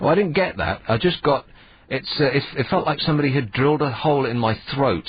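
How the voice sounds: Using a put-on character voice, a man speaks at a very fast pace in a husky, fairly high pitch with ordinary pitch variation.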